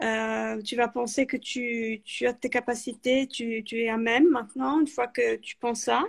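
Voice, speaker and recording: Her pitch sits high and her intonation stays fairly even. The woman speaks at a fairly slow pace. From Italy. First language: Italian (speaking French). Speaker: author and freelance project manager. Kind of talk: interview. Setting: live video call. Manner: hesitant, many fillers.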